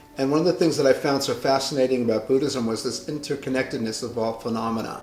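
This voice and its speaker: With music in the background, a man with a medium pitch speaks at a fairly quick pace and fairly even intonation. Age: 60s. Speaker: hair stylist. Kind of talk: personal reflection monologue. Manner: halting.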